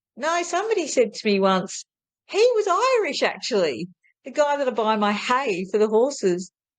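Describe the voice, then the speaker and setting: A woman with an Australian accent, high-pitched, at a moderate pace, with very wide pitch swings. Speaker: spiritual healer. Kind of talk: casual interview conversation.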